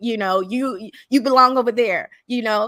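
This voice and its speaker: A woman's high-pitched voice has a bright, sharp tone and an animated delivery. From Jamaica. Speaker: YouTuber. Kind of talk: casual chat. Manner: halting, many repetitions and fillers.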